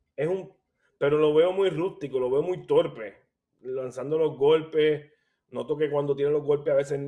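A man with an unremarkable speaking voice, a fairly high pitch, fairly even intonation and a fairly slow pace. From Puerto Rico, Caguas. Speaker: boxing analyst and blogger. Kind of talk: casual chat.

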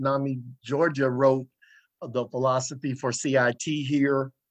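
Here a man with a Southern US accent speaks at a fairly high pitch. He goes at a fairly slow pace over a quiet background. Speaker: radio host. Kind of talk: talk radio interview. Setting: radio studio.

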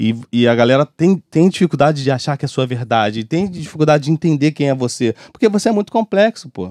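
At a fairly quick pace and a fairly high pitch, a man with a Rio de Janeiro accent speaks with very wide pitch swings in a dry, close sound with no echo. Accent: Rio de Janeiro Brazilian Portuguese (carioca). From Brazil, Rio de Janeiro (Bangu). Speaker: music producer and songwriter. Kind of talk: casual interview chat. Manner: casual, with many fillers and repetitions.

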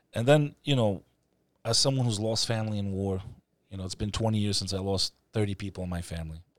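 A man's fairly low voice with an American accent, a very fast pace and ordinary pitch variation. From New York City. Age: 30s. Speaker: podcast host. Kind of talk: casual chat. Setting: studio.

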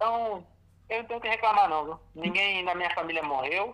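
A man uses a raised, projected voice at a high pitch. Noticeable background noise runs behind him. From Brazil, Francisco Morato (São Paulo). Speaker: musician. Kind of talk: casual chat. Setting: phone call.

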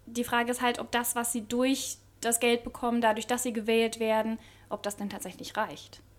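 On a very clean recording with a silent background, a woman with a high pitch speaks at a moderate pace. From Baden-Württemberg, southwest Germany. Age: 20s. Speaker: political activist. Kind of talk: casual chat.

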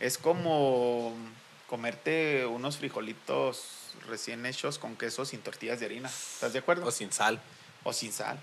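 In an ordinary speaking voice, a man at medium pitch talks at a fairly slow pace with ordinary pitch variation. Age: 30s. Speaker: church musician. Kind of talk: casual chat.

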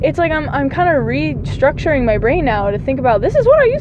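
Talking at a very fast pace, a woman is heard over noticeable background noise with audible room echo. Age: 20s. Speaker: podcaster. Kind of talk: solo monologue. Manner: animated.

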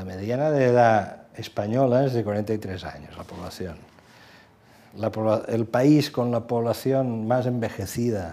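Very slowly, a man talks in a dark, mellow tone at medium pitch with ordinary pitch variation. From Catalonia, Badalona. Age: 60s. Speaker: journalist. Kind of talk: long-form interview.

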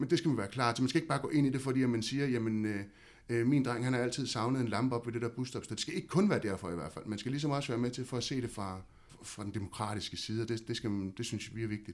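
Medium in pitch, a man talks at a very fast pace with hardly any pauses. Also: ordinary pitch variation. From Denmark, Havnsø (West Zealand). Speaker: local council chairman. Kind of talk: casual interview.

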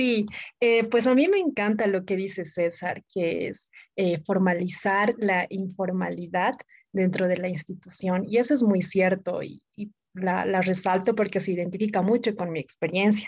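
In an ordinary speaking voice, a woman talks at medium pitch and a fairly slow pace. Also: ordinary pitch variation. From Bolivia, Oruro. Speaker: podcast co-host. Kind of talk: casual chat.

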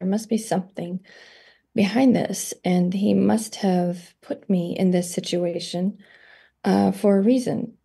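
A woman of medium pitch, somewhat breathy and dark, mellow in tone, with ordinary pitch variation at a moderate pace against a quiet background. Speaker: energy healing therapist. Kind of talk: interview conversation.

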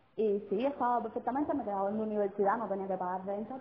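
Noticeable background noise runs behind a woman with a Cuban accent. She talks at a very fast pace and a fairly high pitch. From Cuba, Sagua. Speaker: guest. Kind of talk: casual chat. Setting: phone call.

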